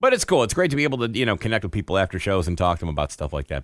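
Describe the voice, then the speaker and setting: In a very clean recording with a silent background, a man with an American accent speaks at a fairly low pitch with very wide pitch swings. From US Midwest, Detroit area, Michigan. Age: 50s. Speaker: stand-up comedian. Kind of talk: casual interview chat.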